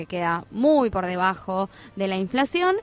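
This woman has an ordinary speaking voice and talks at a fairly slow pace. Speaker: radio host. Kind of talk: radio interview.

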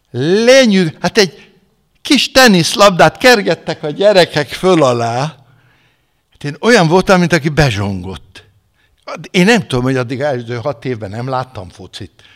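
A man with a fairly high pitch speaks at a fairly slow pace, with very wide pitch swings and big swings in loudness. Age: 70s. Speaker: retired pastor. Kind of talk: sermon. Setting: church. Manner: animated.

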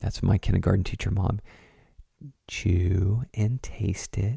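At a very slow pace, a man speaks in a fairly low pitch with a dark, mellow, somewhat breathy tone, the sound dry and close with no echo. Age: 30s. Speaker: podcast host and counselor. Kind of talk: casual monologue.

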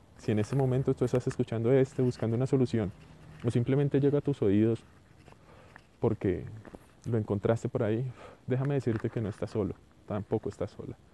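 Dry and close with no echo, a man's plain, everyday voice moves at a fairly quick pace and medium pitch. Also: fairly even intonation. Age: 30s. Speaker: podcaster. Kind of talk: solo monologue audioblog.

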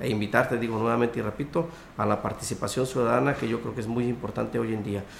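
Fairly quick delivery with ordinary pitch variation and audible room echo. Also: man. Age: 30s. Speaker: local party politician. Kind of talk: radio interview.

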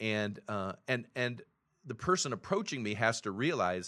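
Over a quiet background, a man with a normal speaking voice talks at a moderate pace and a medium pitch. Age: 60s. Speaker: pastor. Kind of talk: casual chat.

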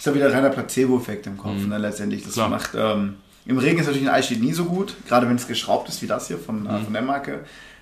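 With vocal fry and a medium pitch, a man talks at a very fast pace amid audible room echo. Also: lively intonation. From Germany, Remscheid (Bergisches Land). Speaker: American football player. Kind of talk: casual chat.

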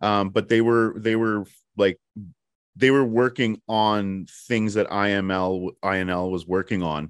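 A man with an unremarkable speaking voice talks fairly slowly in a fairly low pitch, his intonation fairly even. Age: 40s. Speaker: podcast host. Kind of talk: interview.

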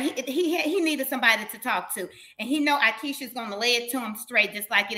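Lively intonation and a bright, sharp tone come through in a Southern US accent. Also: woman. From Mississippi. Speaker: reality TV personality. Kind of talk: interview. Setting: video call.

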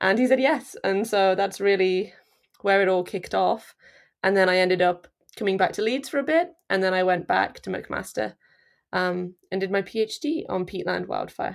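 At a moderate pace, a woman with an East Midlands accent speaks at a medium pitch with ordinary pitch variation. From England, Nottinghamshire (East Midlands). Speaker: peatland wildfire scientist. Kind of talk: interview. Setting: remote recording from the UK.

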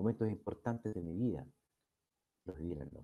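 This man has a dark, mellow tone with vocal fry and lively intonation. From Chile. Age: old. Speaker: YouTube talk show host, lawyer. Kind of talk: monologue to live chat audience. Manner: formal.

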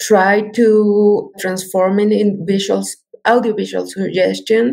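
A woman with a Spanish accent, talking at a very slow pace. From Mexico. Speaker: multimedia artist. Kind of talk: interview. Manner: halting.

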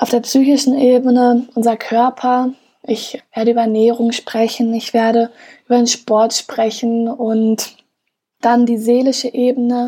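A woman's high-pitched voice with a dark, mellow tone, fairly slow pace and monotone, flat intonation. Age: 20s. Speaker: podcast host. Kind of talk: solo podcast monologue.

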